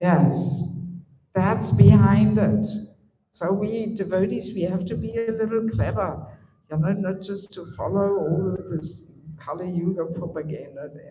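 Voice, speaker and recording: With a German accent, a woman speaks at a fairly slow pace with lively intonation and audible room echo. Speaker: spiritual teacher. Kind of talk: lecture.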